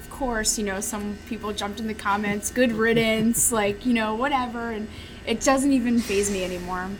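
Music plays in the background as a woman with an American accent speaks at a moderate pace, her intonation fairly even and her loudness swinging widely, with audible room echo. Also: fairly high pitch for a woman. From Chicago area. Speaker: former restaurant critic. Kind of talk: interview over lunch. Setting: restaurant.

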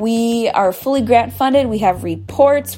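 Noticeable background noise accompanies a woman speaking with an American accent. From US Midwest, Oneida Nation of Wisconsin. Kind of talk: interview. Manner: hesitant with frequent um.

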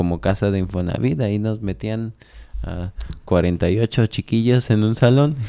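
A man speaks at a fairly slow pace with fairly low pitch and ordinary pitch variation. His tone is dark and mellow. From Mexico, Celaya, Guanajuato. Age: 20s. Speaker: politician. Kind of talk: radio interview.

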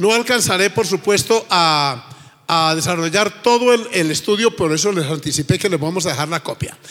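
High in pitch, a man talks at a moderate pace. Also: ordinary pitch variation. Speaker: pastor. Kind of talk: sermon. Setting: church with congregation.

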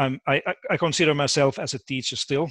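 A man with a Finnish accent speaks at a moderate pace with fairly even intonation, the sound dry and close with no echo. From Finland. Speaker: education professor. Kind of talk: interview. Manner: halting, repeats words.

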